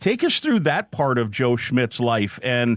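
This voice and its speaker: At a moderate pace and medium pitch, a man speaks in a plain, everyday voice with an American accent. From Iowa. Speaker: podcast host and sports play-by-play announcer. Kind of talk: interview. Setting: studio.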